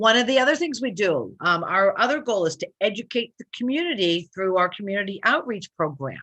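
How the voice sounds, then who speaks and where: A woman with a medium pitch talks at a fairly quick pace with hardly any pauses, her bright, sharp tone moving through very wide pitch swings. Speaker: college planning advisor. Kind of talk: webinar presentation. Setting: live online stream.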